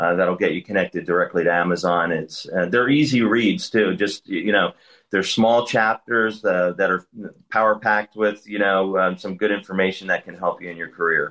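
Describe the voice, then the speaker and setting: A man with a fairly low pitch and an ordinary speaking voice speaks at a moderate pace with ordinary pitch variation. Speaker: staffing firm founder and author. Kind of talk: interview.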